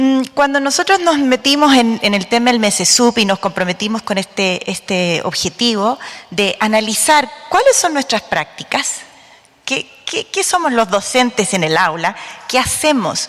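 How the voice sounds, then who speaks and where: Through noticeable background noise, a woman with a fairly high pitch speaks at a fairly slow pace, her voice making very wide pitch swings. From Bolivia. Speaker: special education academic. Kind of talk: conference talk.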